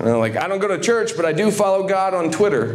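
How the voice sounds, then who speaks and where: There is noticeable background noise and audible room echo. Through it, a man speaks with an American accent. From southern Ohio. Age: 30s. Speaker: comedian. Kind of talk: stand-up. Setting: stage with audience.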